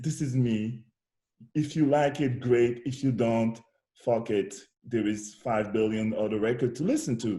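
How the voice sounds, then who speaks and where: A man with a medium pitch and a dark, mellow tone talks at a fairly slow pace, somewhat breathy. His pitch varies in an ordinary way, and he takes long, frequent pauses. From DR Congo. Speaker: musician and poet. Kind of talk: interview conversation.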